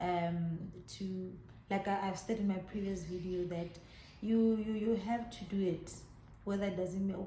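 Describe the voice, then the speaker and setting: Amid noticeable background noise and audible room echo, a woman speaks at medium pitch and a moderate pace with monotone, flat intonation. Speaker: YouTuber. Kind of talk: personal vlog testimony. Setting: in her salon by a main road.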